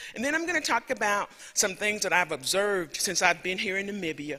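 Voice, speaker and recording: Over noticeable background noise, a raised, projected voice races along at a very fast pace with lively intonation. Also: man. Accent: Southern US. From US South, rural Alabama. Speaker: professor. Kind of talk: lecture.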